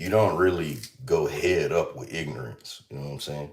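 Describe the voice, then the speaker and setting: Vocal fry runs through this man's animated tone. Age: 30s. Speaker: livestreamer, healthy lifestyle content creator. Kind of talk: casual live stream chat. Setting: kitchen.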